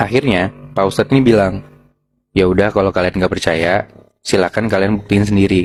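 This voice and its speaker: A man with a fairly low voice speaks in a fairly even intonation and very even loudness while music plays in the background. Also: fairly quick pace. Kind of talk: casual storytelling of a horror tale to friends.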